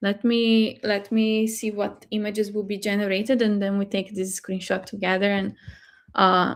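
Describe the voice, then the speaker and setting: A woman speaks with a Portuguese accent at a fairly slow pace. Her intonation is monotone and flat. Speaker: AI tool presenter. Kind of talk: live webinar tutorial. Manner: halting, many fillers.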